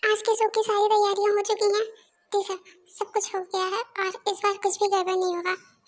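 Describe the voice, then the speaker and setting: With an extremely high pitch, a woman talks at a fairly quick pace in a monotone, flat intonation. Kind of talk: casual fan dub narration. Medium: fan dub. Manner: chatty, informal.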